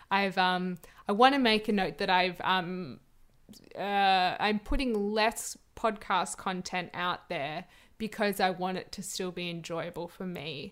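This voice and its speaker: This woman speaks with an Australian accent. Her pace is fairly slow. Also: medium pitch for a woman, ordinary pitch variation, very clean recording, silent background. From Australia, New South Wales South Coast. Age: 20s. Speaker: podcast host and actor. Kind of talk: casual interview. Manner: hesitant, lots of fillers and laughs.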